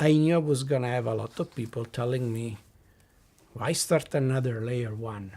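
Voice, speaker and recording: Breathing somewhat audibly, a man with an Italian accent speaks at medium pitch and a moderate pace with ordinary pitch variation, on a very clean recording with a silent background. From southern Italy. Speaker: blockchain company CEO. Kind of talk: podcast interview. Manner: halting.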